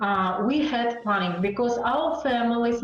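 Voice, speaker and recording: A woman's fairly high voice at a fairly slow pace, with music in the background. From Uzbekistan. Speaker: radio news journalist. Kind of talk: interview answer.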